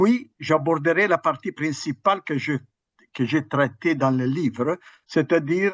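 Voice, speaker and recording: A man's fairly high voice at a fairly slow pace, with ordinary pitch variation, against a quiet background. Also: dry, close sound with no echo. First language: Italian (speaking French). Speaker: history professor. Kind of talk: academic lecture. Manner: halting, with hesitations.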